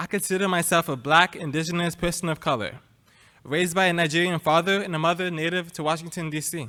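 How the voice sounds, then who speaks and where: A man's high-pitched voice at a fairly quick pace on a very clean recording with a silent background. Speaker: student panelist. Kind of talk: prepared personal testimony. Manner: soft-spoken.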